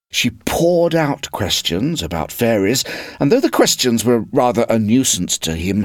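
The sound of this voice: Someone reads in an unforced voice. The pitch moves in a lively way.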